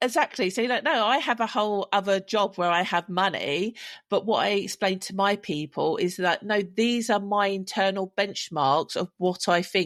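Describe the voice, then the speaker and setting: On a very clean recording with a silent background, the dry, close sound has no echo, and the speech flows with hardly any pauses and ordinary pitch variation. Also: woman. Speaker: podcast co-host and dog breeder. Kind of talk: casual chat. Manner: loud; animated.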